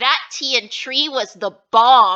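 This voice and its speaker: Using a put-on character voice, a woman growls at a high pitch. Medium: read story. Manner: soft, gentle.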